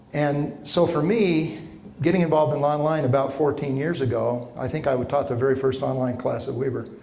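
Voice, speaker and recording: With an American accent, a man speaks at a fairly quick pace. Noticeable background noise and audible room echo are present. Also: ordinary pitch variation. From Utah, Ogden area. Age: 60s. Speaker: professor. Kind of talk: lecture. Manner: animated.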